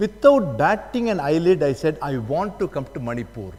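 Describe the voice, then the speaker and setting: In a South Indian accent, a man talks at a moderate pace. His high voice makes very wide pitch swings. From South India, Tamil Nadu. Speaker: judge and guest lecturer. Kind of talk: lecture.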